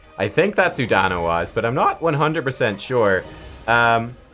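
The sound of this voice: The clip has a reader whose voice sounds unforced.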